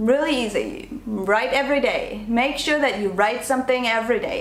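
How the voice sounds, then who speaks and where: A woman with a non-native accent speaks at a fairly quick pace with lively intonation. Room echo is audible and there is noticeable background noise. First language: not English. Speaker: online business coach and vlogger. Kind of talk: talking-to-camera tutorial. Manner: animated.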